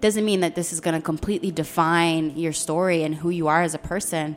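A woman with an American accent has a normal speaking voice at a fairly low pitch. She talks fairly quickly with ordinary pitch variation. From Philadelphia, US. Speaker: domestic violence awareness advocate. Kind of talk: interview. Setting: live broadcast from hotel.

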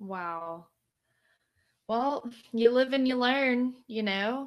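On a very clean recording with a silent background, a woman speaks very slowly with lively intonation. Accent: American. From Louisiana, US South. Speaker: podcast co-host and organizational development consultant. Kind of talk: casual chat. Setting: live recording streamed on Facebook.

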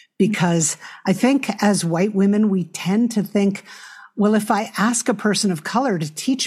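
A somewhat breathy woman with an American accent and ordinary pitch variation, in a very clean recording with a silent background. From US Northeast, New York City. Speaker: nonprofit leader and author. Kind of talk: interview conversation.

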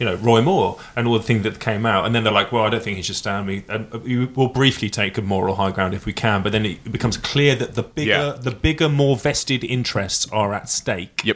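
A man at medium pitch and a fairly quick pace, with ordinary pitch variation over noticeable background noise. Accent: London. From Wales and London. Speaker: podcast co-host, trained actor. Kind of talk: casual chat.

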